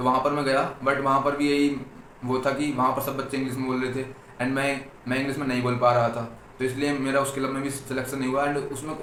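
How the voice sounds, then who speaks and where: Over noticeable background noise and audible room echo, a man with an Uttar Pradesh accent speaks at a medium pitch in a monotone, flat intonation. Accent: Uttar Pradesh Hindi (Khari Boli), noticeable. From Uttar Pradesh, India. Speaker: engineering student vlogger. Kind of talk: casual vlog talk. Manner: halting, repeats words.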